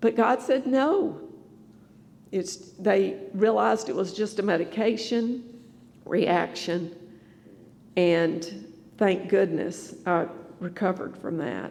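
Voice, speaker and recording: With a North Carolina accent, a woman speaks in medium pitch. Her pace is very slow, with long, frequent pauses. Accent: Southern American (North Carolina). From US South, Greensboro North Carolina. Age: 60s. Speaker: church member giving testimony. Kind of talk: testimony.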